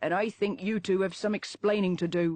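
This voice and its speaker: A woman uses a put-on character voice at a medium pitch, with fairly even intonation. She keeps a moderate pace and very even loudness. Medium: read story. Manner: firm.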